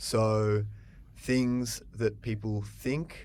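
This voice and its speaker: A man talks in an Australian accent. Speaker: English teacher. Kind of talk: podcast-style conversation for English learners. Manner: slow, clear.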